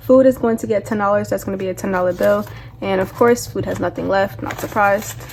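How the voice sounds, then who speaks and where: Over noticeable background noise, a woman talks at a very fast pace. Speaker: budgeting vlogger. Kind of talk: casual vlog tutorial. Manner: casual chatty.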